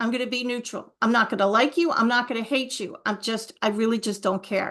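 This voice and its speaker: A woman speaks in an unremarkable speaking voice, fairly high in pitch. Her pace is fairly quick and her intonation fairly even. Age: 60s. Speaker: author and speaker. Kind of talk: interview. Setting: podcast interview.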